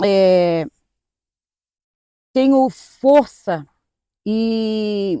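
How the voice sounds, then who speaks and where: Dry and close with no echo, a woman's voice carries a dark, mellow tone at a fairly high pitch. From Florianópolis, Santa Catarina, southern Brazil. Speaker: pastor. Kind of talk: testimony.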